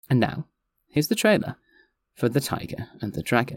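With a northwestern English accent, a man speaks at a moderate pace and medium pitch, his voice making big pitch swings.

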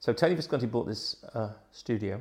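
The speaker is a man with a southern English accent. He talks at a moderate pace. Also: very clean recording, silent background. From England, Gosport, Hampshire. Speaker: rock keyboard player. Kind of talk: casual chat.

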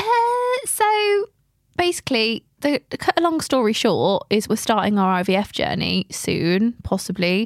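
The sound is dry and close with no echo. Speech moves at a fairly slow pace. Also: woman, very even loudness. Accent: English. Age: 20s. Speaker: podcast host. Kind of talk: casual chat.

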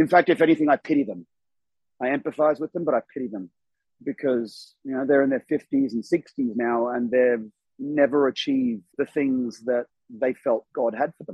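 In an Australian accent, a man talks at a medium pitch and a moderate pace with ordinary pitch variation. His volume swings a lot. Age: 40s. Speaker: former church member. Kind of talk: casual chat. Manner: animated.

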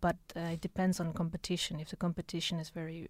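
Her delivery is very fast and somewhat breathy. The woman's pitch is fairly low and her intonation monotone and flat. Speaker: university Erasmus office staff member. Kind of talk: informative explanation in interview. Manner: hesitant, many fillers.

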